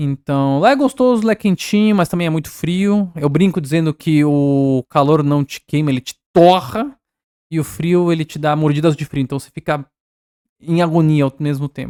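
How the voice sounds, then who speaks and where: With a Spanish accent, a man talks at a moderate pace in a fairly high pitch for a man, his dark, mellow tone carrying ordinary pitch variation in a dry, close sound with no echo. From Peru (Cusco), raised in São Paulo, Brazil from age 4-5. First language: Spanish (speaking Portuguese). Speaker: artist. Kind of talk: casual podcast interview.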